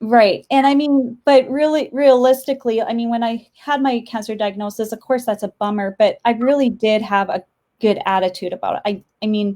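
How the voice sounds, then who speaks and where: A woman with a North Dakota accent, fairly high pitch and a dark, mellow tone, at a moderate pace with ordinary pitch variation and hardly any pauses. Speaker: interior designer. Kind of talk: casual interview chat. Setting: live video stream. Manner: halting, many fillers.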